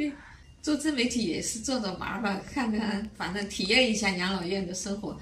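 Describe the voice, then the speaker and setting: Amid light background noise and audible room echo, a woman speaks at a moderate pace with a fairly high pitch and ordinary pitch variation. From grew up in Fuzhou, lives in Weihai. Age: 70s. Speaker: care home resident. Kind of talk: interview answer. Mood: calm, content. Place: home room.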